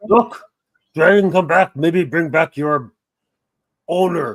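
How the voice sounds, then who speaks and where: The speaker uses a put-on character voice with ordinary pitch variation. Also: man, high pitch for a man, fairly slow pace. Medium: actual play. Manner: broken, simple grammar.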